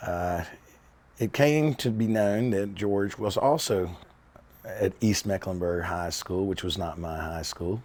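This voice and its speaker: A man with an American accent and a fairly low pitch, ordinary pitch variation, at a very slow pace. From US South, Charlotte, North Carolina. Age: 60s. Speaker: documentary interviewee. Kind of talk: personal storytelling interview.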